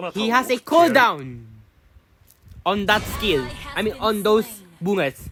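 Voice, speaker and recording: Music plays in the background. The speech comes at a fairly slow pace, with long, frequent pauses. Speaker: gaming youtuber. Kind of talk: gameplay tutorial commentary. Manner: halting, repeats words.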